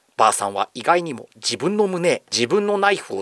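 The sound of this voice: This voice is an unforced reading voice.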